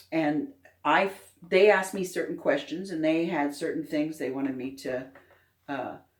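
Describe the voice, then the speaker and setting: The woman's voice sits very deep and low. She keeps a moderate pace. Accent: American. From US Midwest, Indiana. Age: 60s. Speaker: alien abduction experiencer and author. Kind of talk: interview. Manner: halting.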